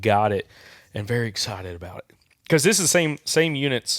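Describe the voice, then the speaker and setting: A man puts on a raspy character voice at a medium pitch. He talks at a fairly quick pace with big swings in loudness. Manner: deadpan, unexcited.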